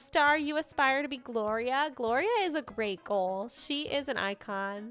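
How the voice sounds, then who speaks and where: With music in the background, a woman speaks at a fairly slow pace in a high pitch. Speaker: streamer. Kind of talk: casual gaming livestream chat. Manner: casual, filler-heavy.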